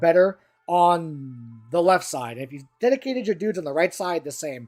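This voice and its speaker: With music playing in the background, the speaker talks in an animated tone at a moderate pace. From Brazil. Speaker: tabletop wargaming youtuber. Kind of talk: casual commentary review. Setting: live stream. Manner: halting.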